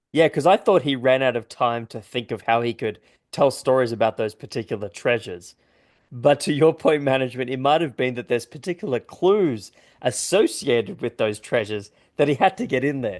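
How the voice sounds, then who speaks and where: Against a quiet background, a man with a non-native accent talks at a fairly quick pace and medium pitch with lively intonation. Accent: non-American accent, others may struggle. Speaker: podcast host. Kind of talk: casual chat.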